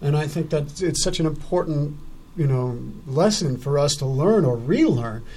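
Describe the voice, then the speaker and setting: A man's somewhat breathy, fairly high voice with a dark, mellow tone and ordinary pitch variation. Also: moderate pace. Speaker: radio talk show host. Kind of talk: live radio interview, casual chat. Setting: radio studio, live broadcast.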